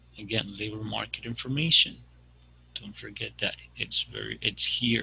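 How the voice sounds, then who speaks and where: The voice has a bright, sharp tone and lively intonation. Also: man. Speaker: career services presenter. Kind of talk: webinar presentation. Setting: video call. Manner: fast.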